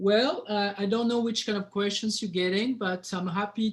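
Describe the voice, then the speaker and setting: The speaker has a strong French accent and ordinary pitch variation. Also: man. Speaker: winemaker. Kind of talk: casual webinar chat.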